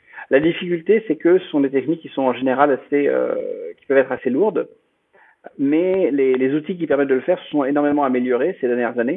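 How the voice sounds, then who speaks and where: Fairly high for a man, this voice moves at a fairly quick pace. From France. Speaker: blockchain project founder. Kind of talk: interview. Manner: halting.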